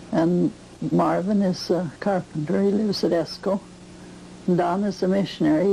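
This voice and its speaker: With an American accent, a woman speaks at a fairly low pitch and a moderate pace, her intonation fairly even, amid noticeable background noise. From US Midwest, rural western Wisconsin. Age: 70s. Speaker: farm grandmother interviewed about her life. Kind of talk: oral history interview. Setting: at her farm.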